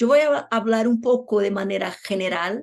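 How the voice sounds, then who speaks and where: With a Portuguese accent, a woman speaks in a fairly high pitch with a dark, mellow tone. Her pitch varies in an ordinary way over a quiet background. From Brazil. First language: Portuguese (speaking Spanish). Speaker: law professor. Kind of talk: lecture.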